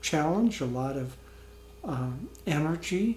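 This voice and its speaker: At a very slow pace, a man speaks with a fairly high pitch and a somewhat breathy sound. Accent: American. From US Midwest (northern Iowa, southern Minnesota). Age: 70s. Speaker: spiritual community leader. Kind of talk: interview.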